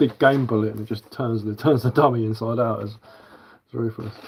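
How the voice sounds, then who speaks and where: A man talks with an English accent and fairly even intonation. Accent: English, that is how I speak. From southern England. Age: 40s. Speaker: bushcraft livestreamer. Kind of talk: casual livestream chat. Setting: live stream. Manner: casual, chatty.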